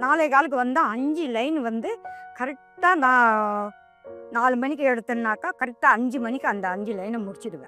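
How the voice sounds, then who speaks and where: Music plays in the background as a woman speaks in a high pitch with ordinary pitch variation. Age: 70s. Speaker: milk delivery woman. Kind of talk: interview answer.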